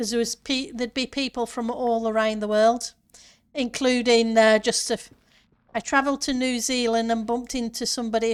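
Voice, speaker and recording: In a northern English accent, a woman speaks in a flat monotone at a fairly high pitch, recorded very cleanly with a silent background. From northern England, near Yorkshire border. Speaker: gaming streamer. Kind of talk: casual live-stream chat.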